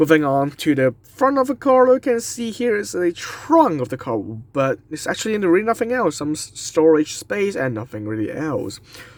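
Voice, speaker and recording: Speaking with a non-native accent at a high pitch, a man uses very wide pitch swings and hardly any pauses. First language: not English. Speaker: diecast model reviewer. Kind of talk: product review. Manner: slow; halting.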